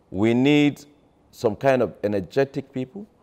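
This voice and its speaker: A man's dark, mellow tone with lively intonation. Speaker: politician interviewee. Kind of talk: interview answer. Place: home room. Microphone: lapel.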